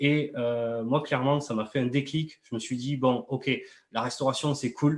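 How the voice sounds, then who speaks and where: A man's fairly high voice with ordinary pitch variation, at a moderate pace. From southern France, Toulouse. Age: 30s. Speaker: MLM entrepreneur and coach. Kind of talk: live interview. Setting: live video stream. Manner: hesitant, many fillers.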